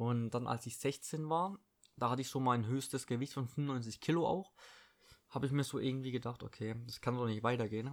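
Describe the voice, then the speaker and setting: A man speaks in a normal speaking voice at a fairly quick pace, medium in pitch with ordinary pitch variation. The recording is very clean, with a silent background. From Baden-Württemberg, Germany (Eppingen, Heilbronn district). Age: 20s. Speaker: podcast host and fitness trainer. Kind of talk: casual solo monologue. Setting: at home. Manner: casual, filler-heavy.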